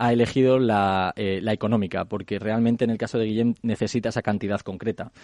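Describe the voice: A man speaks in a fairly low pitch with fairly even intonation. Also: slightly mellow tone.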